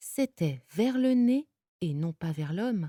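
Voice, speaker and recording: A somewhat breathy woman at medium pitch, very slow and dark and mellow in tone, with very wide pitch swings, a dry, close sound with no echo and a very clean recording with a silent background. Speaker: voice actor. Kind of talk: audiobook reading.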